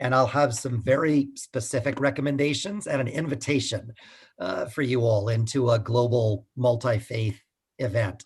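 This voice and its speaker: With an American accent, a man speaks at a medium pitch and a moderate pace, sounding somewhat breathy. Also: ordinary pitch variation. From United States. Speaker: pastor and climate activist. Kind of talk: talk. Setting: video call. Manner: halting.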